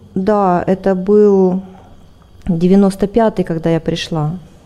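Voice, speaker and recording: The woman's pitch moves in a typical way while background noise is clearly audible. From Siberia, Russia. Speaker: spiritual practitioner, ashram host. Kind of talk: interview, personal testimony.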